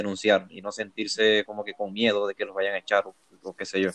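A man's fairly low pitch in a monotone, flat intonation at a fairly quick pace, with a dry, close sound and no echo. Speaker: podcast co-host. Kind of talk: casual interview.

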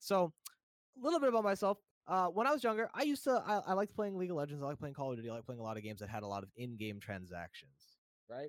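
A man talks at a very fast clip with an American accent. His pitch swings very widely. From New Jersey, US. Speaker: Twitch streamer and graphic designer. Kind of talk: casual podcast interview chat. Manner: casual, friendly.

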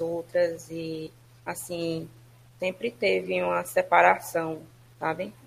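A woman with a fairly low voice. Her pitch swings very widely. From Ceará, Brazil (Fortaleza). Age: 20s. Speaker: lawyer. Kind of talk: interview testimony.

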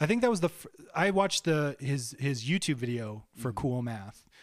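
On a very clean recording with a silent background, a man with a plain, everyday voice speaks at a moderate pace and a fairly high pitch. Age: 30s. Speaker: podcast host and rock musician. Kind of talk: casual chat.

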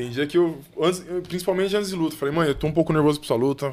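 A man speaks at a very fast pace. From São Paulo, Brazil. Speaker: heavyweight boxer. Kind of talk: casual chat. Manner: halting.

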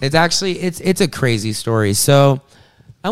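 Speaking with an American accent at a moderate pace, a man makes very wide pitch swings in a very clean recording with a silent background. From US South (South Carolina). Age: 20s. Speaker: rapper. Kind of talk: casual interview.

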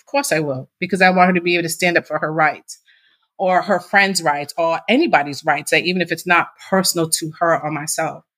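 With a normal speaking voice, a woman of fairly low pitch talks at a fairly quick pace, with ordinary pitch variation and big swings in loudness. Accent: American. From Massachusetts. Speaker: nonprofit founder. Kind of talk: interview.

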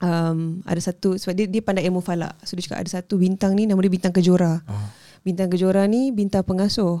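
Very fast, monotone speech from a woman, medium in pitch, with a dark, mellow tone and flat intonation. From Ipoh, Perak, Malaysia. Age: 30s. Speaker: novelist. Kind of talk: casual interview.

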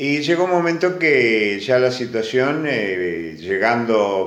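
A man talks at a very slow pace with lively intonation. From Argentina, Necochea. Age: 70s. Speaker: immigrant grandfather. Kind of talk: interview.

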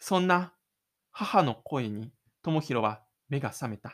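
A man speaks with a bright, sharp tone. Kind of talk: audio drama narration with in-character inner monologue. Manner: dramatic, expressive storytelling, shifting to a casual chatty tone when closing the show; self-deprecating, gloomy inner-monologue delivery for the lonely protagonist.

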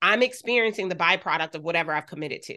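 A woman's bright, sharp, medium-pitched voice with an American accent, very fast with lively intonation, over a quiet background. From US, Delaware (Wilmington). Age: 40s. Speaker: business coach and CEO. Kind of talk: interview conversation.

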